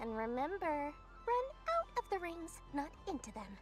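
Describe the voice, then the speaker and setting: A cartoonish character voice at a high pitch moves at a moderate pace while clear music plays in the background. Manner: fussy, dramatic.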